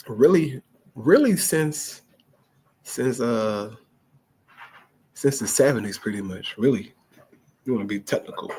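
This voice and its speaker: A man with a dark, mellow tone speaks at medium pitch with lively intonation. He leaves long, frequent pauses. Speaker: street evangelist. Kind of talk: casual religious commentary. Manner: casual, conversational.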